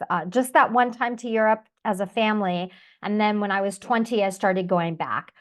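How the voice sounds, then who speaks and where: Over background music, a woman speaks with an American accent at a fairly high pitch. Her pace is moderate and her pitch variation ordinary. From United States. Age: 50s. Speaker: expat interviewee. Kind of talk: interview.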